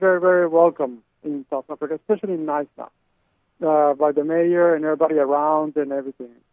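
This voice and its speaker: The man speaks at a fairly quick pace. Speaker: pageant founder. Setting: phone call.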